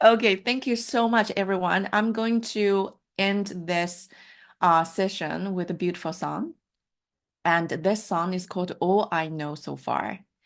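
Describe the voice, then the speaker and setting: In a Mandarin accent, a woman speaks at a fairly slow pace. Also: medium pitch for a woman, ordinary pitch variation, quiet background. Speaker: life coach. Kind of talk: online workshop session.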